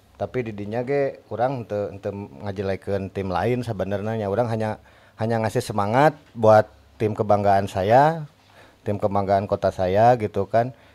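A man with a dark, mellow tone speaks at a moderate pace and fairly low pitch, his intonation fairly even. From Bandung, West Java, Indonesia; West Java, Indonesia. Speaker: musician, football fan; podcast guest. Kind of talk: casual chat. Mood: relaxed storytelling. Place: studio. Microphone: studio mic.

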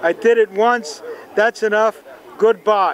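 The recording is dry with no echo but has noticeable background noise. A man speaks in a New York accent. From New York City (Bronx). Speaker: telescope designer. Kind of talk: interview. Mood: warm, good-humored. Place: open country.

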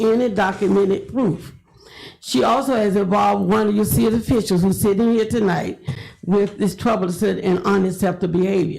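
Vocal fry runs through a woman's speech in an American accent. She talks at a fairly quick pace with ordinary pitch variation. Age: 70s. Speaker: public commenter, educator. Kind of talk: public comment at city meeting. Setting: city commission chambers. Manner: formal.

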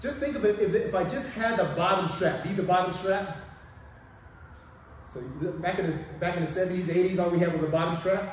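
A man with a high pitch talks at a moderate pace. The room echo is audible, and there is light background noise. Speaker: martial arts instructor. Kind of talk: tutorial. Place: gym. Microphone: camera far.

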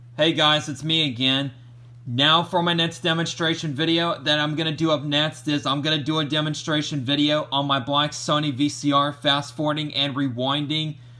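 A man at a moderate pace with monotone, flat intonation, in a quiet background. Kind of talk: casual demonstration narration. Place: home room. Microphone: phone near.

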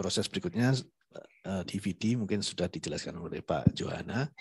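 Ordinary pitch variation marks a man speaking at a moderate pace. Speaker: IT team member. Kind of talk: tutorial. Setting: video call. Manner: halting.

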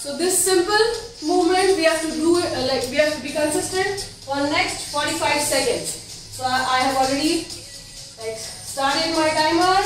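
A woman talks in a high voice at a fairly slow pace, with ordinary pitch variation. There is strong room echo and light background noise. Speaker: fitness instructor. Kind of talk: workout instruction. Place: home room. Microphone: camera far.

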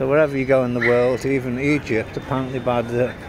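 Loud background noise surrounds a man speaking at a moderate pace. The sound itself is dry, with no echo. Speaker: tourist vlogger. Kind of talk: casual travel commentary. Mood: relaxed, lightly amused. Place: street. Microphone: phone near.

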